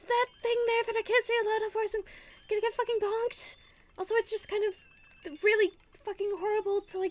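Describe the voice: What we hear is plain reading aloud.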